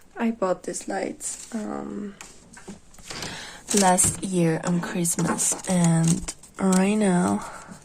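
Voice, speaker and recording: Over noticeable background noise, a woman with a non-native accent speaks very slowly with long, frequent pauses. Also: medium pitch for a woman, ordinary pitch variation. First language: not English. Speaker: vlogger. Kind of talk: casual vlog chat. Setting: at home. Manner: halting.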